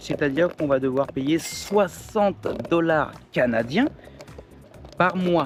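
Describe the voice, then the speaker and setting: Against music in the background, a man speaks at a very slow pace. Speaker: vlogger. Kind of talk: vlog. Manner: casual, hesitant with fillers.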